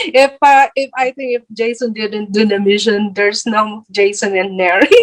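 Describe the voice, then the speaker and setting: A woman's fairly high voice, ordinary in pitch variation and moderate in pace, with a dry, close sound and no echo. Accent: Filipino. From Philippines. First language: Filipino. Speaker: vlogger. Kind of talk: interview. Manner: halting.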